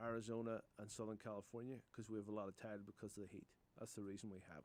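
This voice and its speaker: With an Irish accent, a man of medium pitch talks at a very fast pace. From Northern Ireland, Newcastle (County Down). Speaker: roofing contractor. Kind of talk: radio interview. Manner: hesitant, repeats words.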